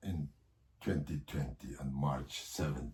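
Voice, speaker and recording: A man with a Xinjiang accent speaks in a dark, mellow tone with vocal fry. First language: Uyghur. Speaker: political leader. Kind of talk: interview. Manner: halting.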